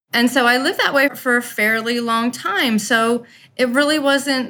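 Her tone is bright and sharp. The woman speaks with an American accent. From Maryland, US. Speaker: charity founder and patient. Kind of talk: interview.

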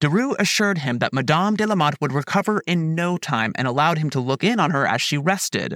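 A man's fairly high-pitched, dramatic, solemn voice at a very fast pace, with lively intonation, hardly any pauses and very even loudness, in a very clean recording with a silent background and a dry, close sound with no echo. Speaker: podcast narrator. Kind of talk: true-crime history narration, scripted. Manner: measured, solemn storyteller pace, even and formal; dramatic, vivid scene-setting delivery.

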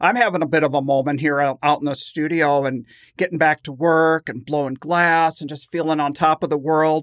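Fairly high-pitched and fairly even in intonation, a man speaks in a plain, everyday voice. The sound is dry and close, with no echo. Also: fairly quick pace. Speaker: podcast host, glass blower. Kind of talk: casual chat.

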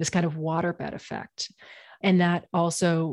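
At a moderate pace, a woman with an American accent speaks in a normal speaking voice at a fairly low pitch. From Maine, US (Portland). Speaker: policy researcher and advocate. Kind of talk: interview.

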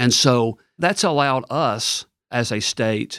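A man with a Tennessee accent uses ordinary pitch variation on a very clean recording with a silent background and a dry, close sound with no echo. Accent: Southern US (Tennessee). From West Tennessee. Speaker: state official, former state legislator. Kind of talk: interview.

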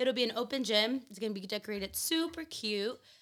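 Loud and fairly quick, a woman speaks in a bright, sharp tone in a very clean recording with a silent background. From Mexican family (Guerrero roots). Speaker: mother and gym event organizer. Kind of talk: casual chat. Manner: laughs loudly.

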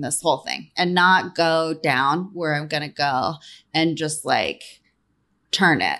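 A woman with a normal speaking voice, fairly low in pitch, at a fairly slow pace with ordinary pitch variation over a quiet background. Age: 40s. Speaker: entrepreneur and author. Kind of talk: interview.

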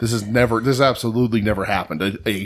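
A man with a plain, everyday voice, medium pitch and ordinary pitch variation. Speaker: podcast co-host. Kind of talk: casual chat.

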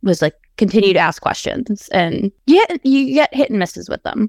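Her pitch swinging very widely, a woman talks at a moderate pace. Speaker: paralegal. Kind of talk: interview. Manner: confident.

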